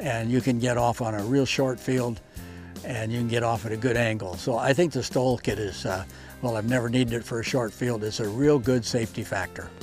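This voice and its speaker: Over music in the background, a man talks at a fairly quick pace with a medium pitch and fairly even intonation. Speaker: airplane owner. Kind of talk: interview answer. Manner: casual, hesitant.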